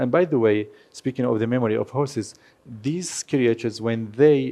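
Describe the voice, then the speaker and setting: A Kurdish accent comes through at a fairly slow pace, with a dark, mellow tone. The intonation is fairly even, over a quiet background. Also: man. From Syria (Aleppo), Kurdish family. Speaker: horse photographer. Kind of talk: lecture.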